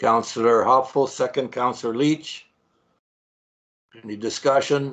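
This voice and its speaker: A man speaks in an unremarkable speaking voice with fairly even intonation. The background is quiet. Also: medium pitch for a man, fairly slow pace. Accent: Canadian. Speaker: mayor chairing council meeting. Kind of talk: formal council meeting chairing. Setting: video call.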